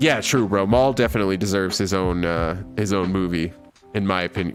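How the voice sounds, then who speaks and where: With music in the background, a man with a very deep, low pitch talks at a fairly quick pace. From Mexican heritage. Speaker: streamer. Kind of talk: live stream chat. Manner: halting.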